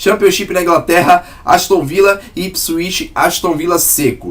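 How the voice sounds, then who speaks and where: A somewhat breathy man talks at a moderate pace. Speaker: sports betting tipster. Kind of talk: sports betting analysis monologue. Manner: casual.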